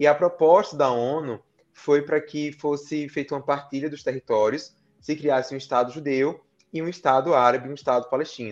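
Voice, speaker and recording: A man with a normal speaking voice, fairly high pitch and fairly even intonation, at a moderate pace against a quiet background. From Brazil, Paraíba (Campina Grande). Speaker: international relations scholar. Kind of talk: interview. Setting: live-streamed podcast.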